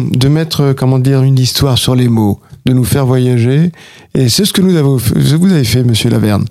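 A man at a medium pitch talks at a moderate pace with ordinary pitch variation while noticeable background noise carries on. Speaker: radio host. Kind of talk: radio interview. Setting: radio studio.

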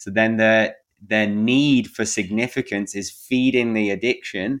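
On a very clean recording with a silent background, a man speaks at a fairly slow pace. His pitch is fairly low, and his intonation is fairly even. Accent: English. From England. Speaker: men's coach. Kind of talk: interview conversation.

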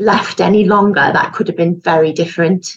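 A woman with a Yorkshire accent, medium pitch, fairly even intonation and moderate pace. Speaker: knitwear designer, breast cancer survivor. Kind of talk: testimony.

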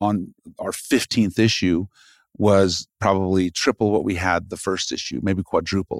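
In a normal speaking voice, a man with a fairly low pitch talks at a moderate pace with fairly even intonation. The sound is dry and close with no echo, on a very clean recording with a silent background. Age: 40s. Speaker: magazine publisher. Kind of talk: casual interview chat. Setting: office studio.

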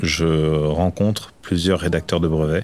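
Speaking at a very slow pace, a man talks in a very deep, low pitch with fairly even intonation. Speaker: winemaker. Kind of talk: testimony.

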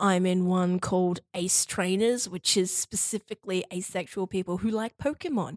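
A moderate pace and fairly even intonation in an Australian accent, on a very clean recording with a silent background and a dry, close sound with no echo. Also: woman, medium pitch for a woman. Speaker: university student, guest sharing queer experience. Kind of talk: casual interview chat. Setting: studio. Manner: talkative.

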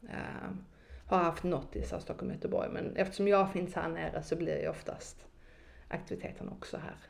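Audible room echo follows a woman who talks at a moderate pace. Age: 20s. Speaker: marketing consultant and network founder. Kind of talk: casual chat.

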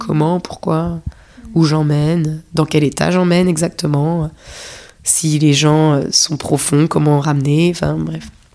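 A woman's very deep, low voice in a calm tone, fairly slow and fairly even in intonation, with noticeable background noise. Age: 30s. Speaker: dancer. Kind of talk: casual chat. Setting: host's apartment.

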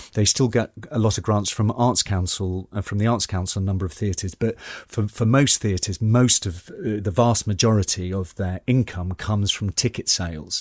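In a dry, close recording with no echo, a man with a slight Geordie accent speaks at a fairly low pitch, somewhat breathy, with ordinary pitch variation and hardly any pauses. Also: moderate pace, very clean recording, silent background. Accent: slightly posh Geordie. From northern England, Newcastle upon Tyne. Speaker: actor and landscape photographer. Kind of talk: interview. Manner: halting, many repetitions.

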